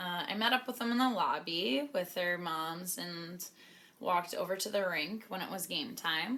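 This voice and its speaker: With a Canadian accent, a woman speaks at a medium pitch with lively intonation over noticeable background noise. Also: moderate pace. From Canada. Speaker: professional hockey player. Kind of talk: vlog narration. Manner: casual.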